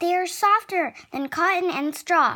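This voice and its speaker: Using a squeaky, put-on character voice with an extremely high pitch, a woman speaks fairly slowly in a gentle, warm tone. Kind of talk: bedtime story. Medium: read story.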